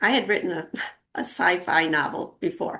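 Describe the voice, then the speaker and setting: A woman speaks at a moderate pace with a bright, sharp tone. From Long Island, New York, US. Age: old. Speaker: novelist and art teacher. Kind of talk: interview. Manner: hesitant, with many fillers.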